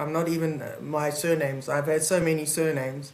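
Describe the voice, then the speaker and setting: In a South African accent, the speaker keeps fairly even intonation against audible room echo. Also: woman. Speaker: advocate, mediator and keynote speaker. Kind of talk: podcast interview.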